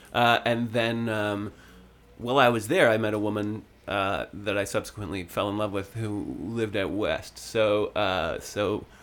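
Music plays behind a man with a Canadian accent and a fairly low pitch. His intonation stays fairly even, and his pace is fairly slow. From Ontario, Canada (Sutton). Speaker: singer-songwriter. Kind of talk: casual interview chat. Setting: studio.

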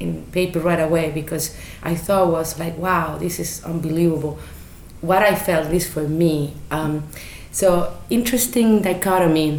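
A woman with a Chilean accent speaks at a moderate pace in a fairly low pitch, with ordinary pitch variation. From Chile, Santiago. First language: Spanish. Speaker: business owner. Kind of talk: casual chat. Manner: halting.

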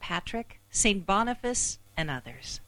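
The woman's voice sits at a medium pitch. Vocal fry runs through it. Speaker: announcer. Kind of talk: scripted announcement.

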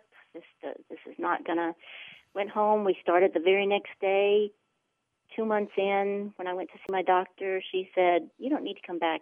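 Using an ordinary speaking voice, a woman speaks at a medium pitch and a moderate pace, with ordinary pitch variation and big swings in loudness. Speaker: client sharing weight loss testimony. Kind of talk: testimony.

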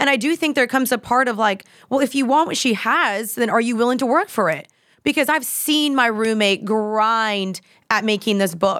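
A woman's normal speaking voice with an American accent, fairly high in pitch, with lively intonation at a moderate pace, very even loudness, and a very clean recording over a silent background. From Texas, Dallas. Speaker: influencer and podcaster. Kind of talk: casual chat.

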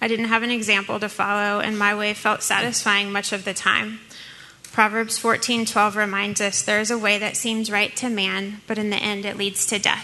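A woman with an American accent speaks at a moderate pace in a flat, monotone delivery. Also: medium pitch for a woman. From US South, New Orleans. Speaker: church member sharing testimony. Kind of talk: testimony.

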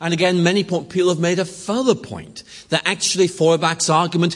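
The man's voice sits at a high pitch. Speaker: lecturer on religion and philosophy. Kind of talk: lecture. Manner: conversational with hesitations.

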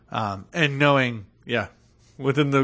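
A man with an ordinary speaking voice at a medium pitch, ordinary pitch variation and a moderate pace, against a quiet background. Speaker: podcast co-host. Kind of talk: casual chat.

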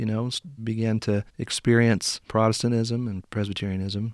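With a US Midwestern accent, a man of medium pitch speaks with fairly even intonation in a very clean recording with a silent background. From southern Indiana. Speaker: pastor and seminary professor. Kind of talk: interview.

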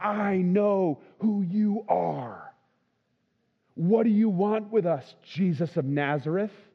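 A man puts on a character voice, high in pitch and delivered at a very slow pace. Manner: otherworldly.

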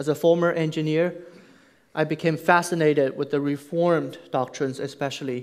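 A man speaks with a Chinese accent and fairly even intonation. The recording is very clean, with a silent background. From China. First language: Mandarin Chinese. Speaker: pastor. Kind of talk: sermon. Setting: church.

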